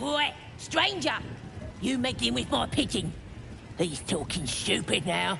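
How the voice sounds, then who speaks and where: Put-on character voice at a middle pitch, fairly slow pace and long, frequent pauses, with clear background noise. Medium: video game. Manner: loud, brash, impatient.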